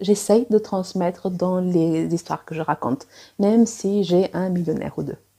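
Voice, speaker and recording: A woman with a non-native accent talks at a very slow pace. Her tone is dark and mellow, with ordinary pitch variation. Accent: non-native French, self-described. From Angola, also Cuba, Portugal, South Africa. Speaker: romance author and editor. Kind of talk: personal vlog monologue. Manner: hesitant, many fillers.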